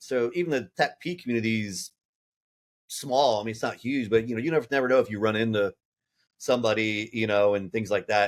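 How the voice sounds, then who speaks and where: A man with an American accent, medium in pitch, at a fairly quick pace. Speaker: war veteran and business founder. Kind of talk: casual chat.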